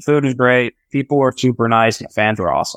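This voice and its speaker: A man's pitch varies in an ordinary way as he talks very fast. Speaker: professional baseball player. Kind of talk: interview. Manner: casual, laughs often.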